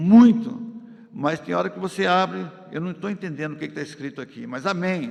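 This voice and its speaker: Lively intonation from a man at a high pitch over noticeable background noise. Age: 70s. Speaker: pastor. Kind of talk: sermon. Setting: church. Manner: loud.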